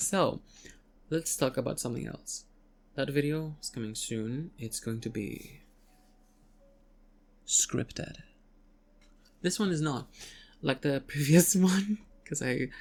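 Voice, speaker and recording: A woman's very deep, low voice with lively intonation, big swings in loudness, a fairly slow pace, and long, frequent pauses. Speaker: voice actress. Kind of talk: casual talk to camera. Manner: unscripted, rambling.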